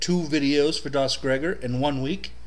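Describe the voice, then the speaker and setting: Fairly slow speech from a man at medium pitch. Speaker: Linux reviewer. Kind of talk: casual talk to camera. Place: home room. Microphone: webcam.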